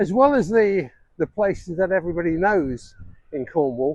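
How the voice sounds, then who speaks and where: At a moderate pace, a man with a high, dark, mellow voice lets his pitch swing very widely. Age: 70s. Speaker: retired DJ turned vlogger. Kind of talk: casual vlog talk to camera. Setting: outdoors walking along the shore. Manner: hesitant, many fillers.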